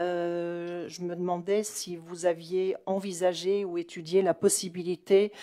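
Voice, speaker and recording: Over a quiet background, a woman with a fairly low pitch and a dark, mellow tone speaks at a very slow pace. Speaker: municipal councillor. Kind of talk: council meeting question. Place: hall. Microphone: podium.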